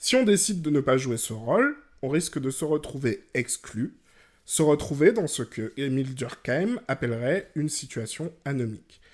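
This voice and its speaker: A man with an ordinary speaking voice, fairly high in pitch, with lively intonation at a fairly slow pace, in a very clean recording with a silent background. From Guadeloupe, rural. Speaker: podcast host. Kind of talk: educational podcast monologue.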